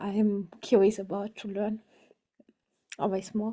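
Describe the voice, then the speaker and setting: This woman speaks with a German accent at medium pitch. Her tone is dark and mellow, and her intonation monotone and flat. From Germany, near French border. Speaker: workshop participant. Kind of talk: self-introduction in group video call. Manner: halting.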